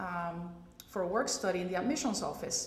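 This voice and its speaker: With audible room echo and noticeable background noise, a woman speaks in a Spanish accent with fairly even intonation. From Puerto Rico. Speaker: pediatric radiologist. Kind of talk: panel discussion.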